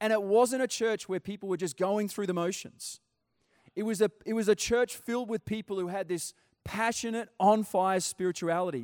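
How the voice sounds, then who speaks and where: With an Australian accent, a man talks at a fairly quick pace in an animated tone and a high pitch, with a dry, close sound with no echo. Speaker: pastor. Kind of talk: sermon. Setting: church.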